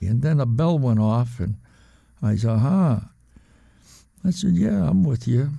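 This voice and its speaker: A man talks at a fairly slow pace with long, frequent pauses and a medium pitch. His dark, mellow tone is somewhat breathy, and his pitch swings very widely. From New England. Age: 70s. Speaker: former card cheat. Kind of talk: interview storytelling.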